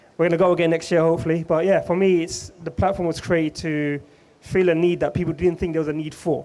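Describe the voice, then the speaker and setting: Over noticeable background noise, a man with a high pitch talks at a very fast pace in a monotone, flat intonation. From London. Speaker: community sports platform founder. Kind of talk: live podcast panel talk.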